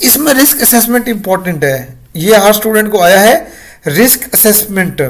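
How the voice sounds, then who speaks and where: Lively intonation from a man with a high pitch, amid noticeable background noise. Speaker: online tutor. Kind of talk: tutorial. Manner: casual, with many fillers.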